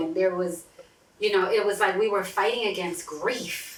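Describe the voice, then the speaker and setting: A woman speaks at a moderate pace in a medium pitch. Noticeable background noise runs behind her. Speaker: therapist and podcast host. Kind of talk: casual chat. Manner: loud.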